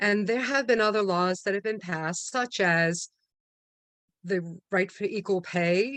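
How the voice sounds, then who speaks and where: A woman speaks in a normal speaking voice with an American accent. Her medium pitch shows ordinary variation at a fairly slow pace. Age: 60s. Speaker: meeting host, toastmaster of the day. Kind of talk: club meeting speech. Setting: online video meeting.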